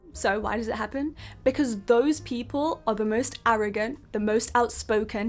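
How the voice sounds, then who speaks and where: With noticeable background noise behind her, a woman speaks at a moderate pace with ordinary pitch variation. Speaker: self-help video creator. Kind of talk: motivational talk. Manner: emphatic.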